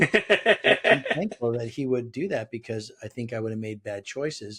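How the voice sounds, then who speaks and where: This man has an American accent, a bright, sharp tone, and ordinary pitch variation. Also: medium pitch for a man, moderate pace. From Southern California. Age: 60s. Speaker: business leader and author. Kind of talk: interview conversation. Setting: remote call.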